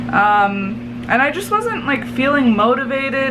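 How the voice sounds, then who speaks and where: Amid noticeable background noise and audible room echo, a woman talks at a fairly slow pace with a medium pitch and lively intonation. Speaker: baking vlogger. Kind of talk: casual vlog tutorial. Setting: home kitchen. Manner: naturally loud; casual, filler-heavy.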